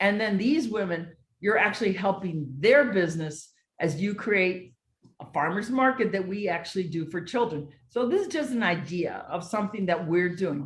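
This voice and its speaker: Somewhat breathy, a woman with an American accent speaks at medium pitch and a moderate pace with lively intonation. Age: 60s. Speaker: educator and social entrepreneur. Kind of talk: motivational talk.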